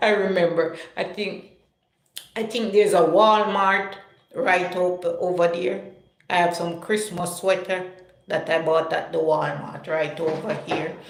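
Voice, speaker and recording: A woman with a Jamaican accent speaks at a fairly slow pace and a medium pitch. Her intonation is fairly even, and audible room echo surrounds her. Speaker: live-stream vlogger. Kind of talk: casual chat. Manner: chatty, conversational.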